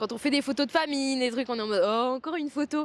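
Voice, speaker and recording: The speech moves at a fairly quick pace with lively intonation. The sound is dry and close, with no echo. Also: woman. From France, Provence. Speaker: athlete. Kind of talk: interview. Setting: sports training centre.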